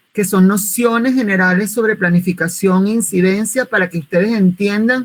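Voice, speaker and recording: A woman with a Venezuelan accent, medium in pitch, with fairly even intonation. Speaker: social communicator and volunteer project trainer. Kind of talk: online workshop presentation.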